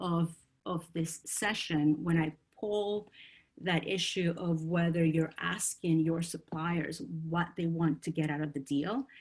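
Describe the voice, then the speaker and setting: Somewhat breathy, a woman with a fairly low pitch speaks at a fairly slow pace. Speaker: procurement consultant. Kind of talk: webinar presentation. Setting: online webinar. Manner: hesitant with many fillers.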